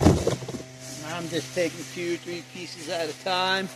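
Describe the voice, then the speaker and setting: A fairly high male voice over music in the background. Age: 50s. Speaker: off-grid vlogger. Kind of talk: casual vlog narration while working. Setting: outdoors. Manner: casual, conversational.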